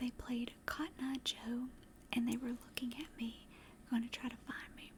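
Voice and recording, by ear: Fairly even intonation in a Southern US accent. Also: woman. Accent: Southern American.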